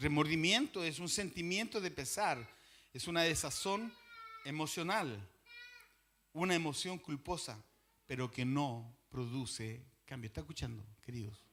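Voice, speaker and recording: Pausing long and often, a man speaks fairly slowly at a fairly high pitch, his tone bright and sharp and his intonation lively. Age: 60s. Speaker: pastor. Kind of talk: sermon.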